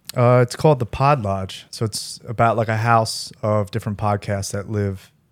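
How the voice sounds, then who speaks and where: A man with a fairly low pitch and a plain, everyday voice talks at a moderate pace with fairly even intonation, captured in a very clean recording against a silent background. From US Northeast, Philadelphia. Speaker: comedian. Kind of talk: casual chat.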